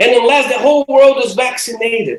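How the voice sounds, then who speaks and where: A man is speaking here. His pitch is extremely high. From Brazil. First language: Portuguese. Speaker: theology professor. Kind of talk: lecture.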